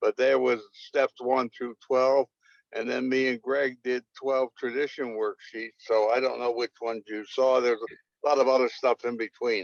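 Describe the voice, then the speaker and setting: The sound is dry and close, with no echo. A man speaks at medium pitch and a moderate pace in a monotone, flat way. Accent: American. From New York City (Bronx). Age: 80s+. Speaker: recovering addict, fellowship historian. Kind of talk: interview.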